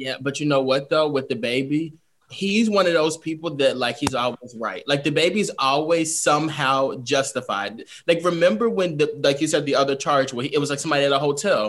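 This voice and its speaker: Speaking with an American accent, a man has a normal speaking voice, fairly high in pitch, with ordinary pitch variation. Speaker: podcast co-host. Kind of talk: casual chat.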